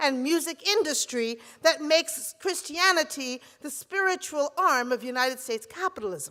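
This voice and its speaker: Her high, bright and sharp voice is raised and projected, with lively intonation at a moderate pace, clearly a woman's. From Barbados. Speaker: preacher and seminary professor. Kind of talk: sermon.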